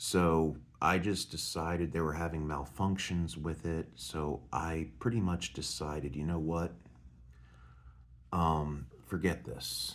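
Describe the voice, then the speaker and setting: At a very slow pace, a soft-spoken man talks with a very deep, low pitch and fairly even intonation. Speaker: vlogger. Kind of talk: casual monologue. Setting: hotel at night.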